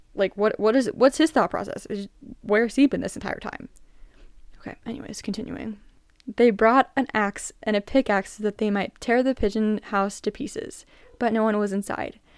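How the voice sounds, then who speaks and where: A plain, everyday voice from a woman, fairly high-pitched, at a moderate pace with ordinary pitch variation, in a dry, close sound with no echo. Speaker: podcast host. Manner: chatty and casual in intros, with self-deprecating laughs.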